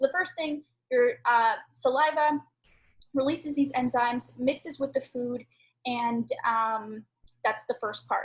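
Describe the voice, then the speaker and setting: Here a woman speaks at a high pitch with ordinary pitch variation. She leaves long, frequent pauses. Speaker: health coach. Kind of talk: online training lesson. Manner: fast; animated.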